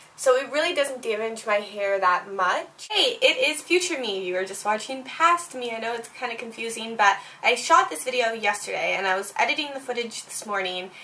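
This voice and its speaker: Against noticeable background noise, a woman with a fairly high pitch talks at a fairly quick pace with hardly any pauses, lively intonation and big swings in loudness. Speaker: beauty vlogger. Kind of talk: tutorial. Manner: casual, rambling.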